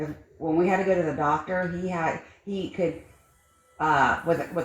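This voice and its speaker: A woman mumbles at a moderate pace and a fairly low pitch, with audible room echo and noticeable background noise. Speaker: livestreamer. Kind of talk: casual chat. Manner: mumbling.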